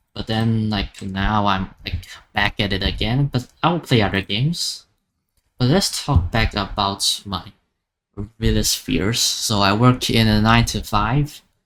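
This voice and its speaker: Fairly slow speech with a non-native accent. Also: man, fairly low pitch for a man, ordinary pitch variation. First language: not English. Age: 20s. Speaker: gaming YouTuber, college student. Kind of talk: casual vlog monologue. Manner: halting, many fillers and restarts.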